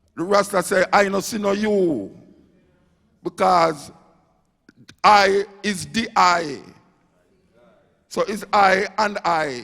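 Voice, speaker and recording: This man has a Jamaican accent and a high pitch. He talks at a very slow pace with ordinary pitch variation. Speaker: dub poet. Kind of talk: lecture-style talk to audience. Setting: live stage.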